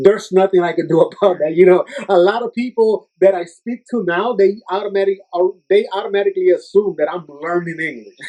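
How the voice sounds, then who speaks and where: A man speaks at a fairly quick pace in a strong Puerto Rican accent, his pitch high with ordinary variation, and the sound is dry and close with no echo. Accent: heavy Puerto Rican Spanish accent in English. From Puerto Rico. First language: Spanish. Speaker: youth minister and fitness trainer. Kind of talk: podcast interview.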